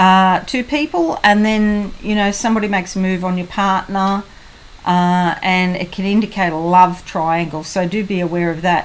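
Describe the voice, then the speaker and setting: At a moderate speed, a woman with an unremarkable speaking voice talks in a medium range, her intonation fairly even. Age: 60s. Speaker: psychic tarot reader. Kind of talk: tarot horoscope reading. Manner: casual, conversational.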